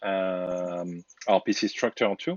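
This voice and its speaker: The speaker has a strong French accent. Intonation stays fairly even. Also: man. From France. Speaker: DevOps engineer, program curator. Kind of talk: online meeting introductions.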